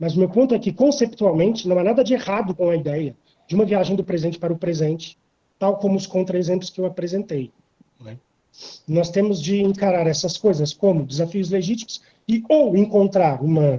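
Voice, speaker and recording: The voice has a dark, mellow tone and ordinary pitch variation, moving at a moderate pace with long, frequent pauses. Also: man. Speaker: philosophy researcher presenting a paper. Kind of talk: academic conference talk. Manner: hesitant fillers.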